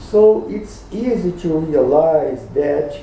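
A man speaks very slowly with a non-native accent. Light background noise and audible room echo are present. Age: 60s. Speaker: gynecologist. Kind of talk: opinion talk to camera. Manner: slow, deliberate. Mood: serious, critical. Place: home room. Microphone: webcam.

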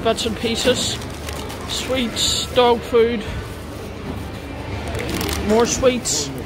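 With music in the background, the speaker leaves long, frequent pauses. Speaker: vlogger. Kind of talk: casual vlog chat. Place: cafe. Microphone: phone near.

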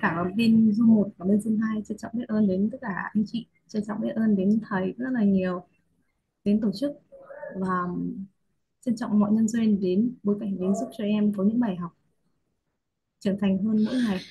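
The voice has a dark, mellow tone and is somewhat breathy. It moves at a moderate pace with fairly even intonation and long, frequent pauses. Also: woman, fairly high pitch for a woman. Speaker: course participant. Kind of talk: sharing reflections in a video call.

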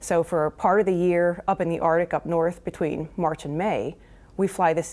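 A woman speaks at a moderate pace in a fairly low voice with fairly even intonation. It is a plain, everyday voice. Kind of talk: interview answer. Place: studio. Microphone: lapel.

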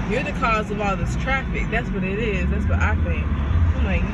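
Loud background noise sits behind a woman's voice. She speaks at a moderate pace, the sound dry with no echo. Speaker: student vlogger. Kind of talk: casual vlog chat. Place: car. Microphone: phone near.

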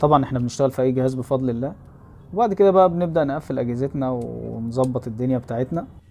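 Faint music plays in the background as a man talks at a very fast pace with ordinary pitch variation. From Egypt, Zagazig; Egypt. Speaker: phone repair technician and YouTuber; YouTuber. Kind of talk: vlog narration. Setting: repair shop workroom. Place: workshop. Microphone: phone near.

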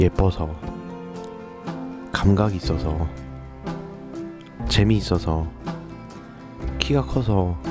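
Music plays in the background while a man speaks very slowly with a very deep, low pitch. His pitch swings very widely, and he leaves long, frequent pauses. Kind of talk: poetry reading (video poem narration). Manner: slow, soft, sentimental.

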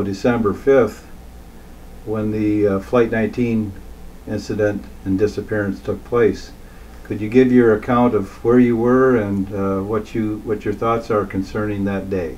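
A man's ordinary speaking voice, fairly low in pitch, at a moderate pace with fairly even intonation and light background noise. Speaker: interviewer. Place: home room.

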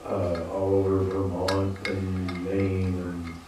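Amid strong room echo and light background noise, a man talks in a very deep, low pitch. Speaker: farmer on a panel. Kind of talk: panel discussion answer. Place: hall. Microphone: handheld.

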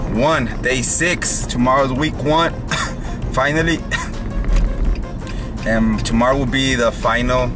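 A man talks at a very slow pace with fairly even intonation and very even loudness. Clear music plays in the background. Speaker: fitness vlogger. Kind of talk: casual vlog chat. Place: car. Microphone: phone near.

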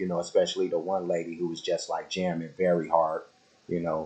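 A man speaks over noticeable background noise. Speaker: music reaction youtuber. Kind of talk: casual chat. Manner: halting.

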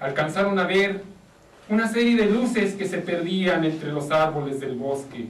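The reading voice is natural. Its intonation stays lively.

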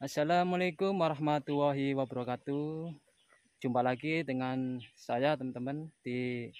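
At a fairly slow pace, the speaker is heard in a dry recording with no echo and a quiet background. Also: man. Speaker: farm worker vlogger. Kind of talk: casual vlog chat. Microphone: phone near.

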